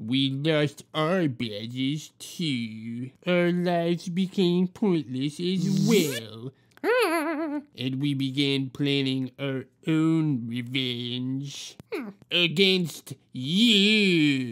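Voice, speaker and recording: This put-on character voice sits at a low-to-middle pitch and goes at a very slow pace. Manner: menacing, plotting.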